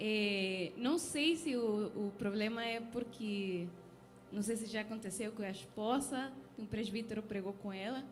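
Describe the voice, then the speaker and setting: Against noticeable background noise and audible room echo, a woman with a non-native accent speaks fairly slowly at a fairly high pitch, with ordinary pitch variation. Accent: foreign accent in Portuguese. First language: not Portuguese (speaking Portuguese). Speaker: preacher. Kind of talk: sermon. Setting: church.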